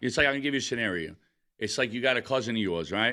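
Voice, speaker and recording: A man talks at a very fast pace with a strong New York accent and a bright, sharp tone. The recording is very clean, with a silent background. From Brooklyn, New York. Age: 40s. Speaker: stand-up comedian. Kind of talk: casual chat.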